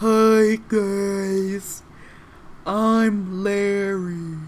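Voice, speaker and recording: Over clear background noise, a female-sounding put-on character voice speaks at a medium pitch in a monotone, flat intonation. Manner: quiet, soft-spoken.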